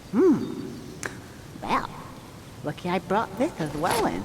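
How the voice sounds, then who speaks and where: The speaker uses a put-on character voice at middle pitch, going at a fairly slow pace over clear background noise. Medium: video game. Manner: sarcastic, wisecracking.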